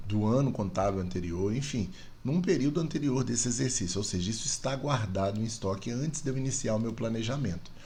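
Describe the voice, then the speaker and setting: Dark and mellow in tone and somewhat breathy, the voice moves at a fairly quick pace with lively intonation, and the room echo is audible. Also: man, medium pitch for a man. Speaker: university lecturer. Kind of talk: tutorial. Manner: fast.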